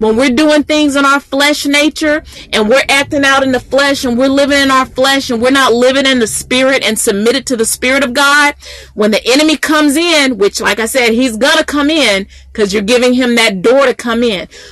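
A woman speaks at a high pitch with ordinary pitch variation. Her loudness stays very even over noticeable background noise. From US South, Mississippi. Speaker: Bible teacher. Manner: earnest, building preacher's rhythm with repetition; conversational with frequent 'um' fillers.

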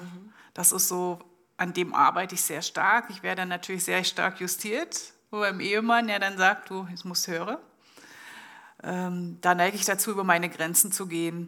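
On a very clean recording with a silent background, a woman with a medium pitch and a bright, sharp tone speaks at a moderate pace in a monotone, flat manner. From East Germany. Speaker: business manager and lecturer. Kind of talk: public panel discussion. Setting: live event at an exhibition venue.

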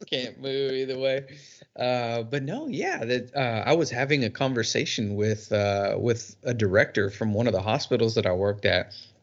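Medium-pitched male voice, a normal speaking voice, moving at a moderate speed with ordinary pitch variation. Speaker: podcast co-host. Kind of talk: casual chat.

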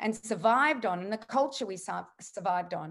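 A woman with an Australian accent, fairly high in pitch, at a moderate pace. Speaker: nutritionist and author. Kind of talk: interview conversation.

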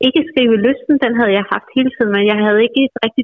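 A woman talks at a fairly quick pace with fairly even intonation. It is an ordinary speaking voice. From Bornholm, Denmark. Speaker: novelist. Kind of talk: interview. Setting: phone call.

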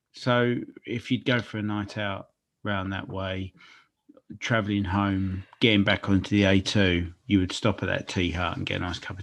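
With a London accent, a man of fairly low pitch talks at a moderate pace. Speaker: podcast co-host. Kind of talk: casual chat.

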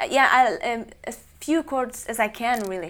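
A woman talks fairly slowly with a Norwegian accent. Her pitch is fairly high. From central coastal Norway. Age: 20s. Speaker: guitarist and singer-songwriter. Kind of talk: casual interview. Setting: studio.

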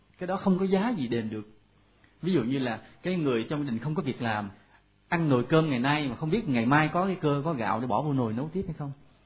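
A man with a fairly high pitch speaks at a fairly quick pace, somewhat breathy, with lively intonation. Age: 40s. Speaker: Buddhist monk lecturer. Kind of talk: dharma talk. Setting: temple hall with audience.

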